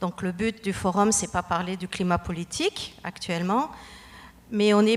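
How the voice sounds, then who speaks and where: A woman speaks at a medium pitch with ordinary pitch variation. Noticeable background noise is present. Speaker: immigration consultant, audience member. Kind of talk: question at panel discussion.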